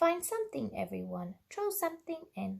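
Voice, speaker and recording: At a moderate pace, a woman performs a put-on character voice. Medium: read story.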